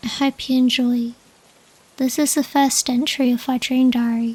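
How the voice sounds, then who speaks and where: A soft-spoken woman talks with high pitch at a fairly slow pace. Her intonation stays flat and monotone. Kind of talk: ASMR dream diary reading.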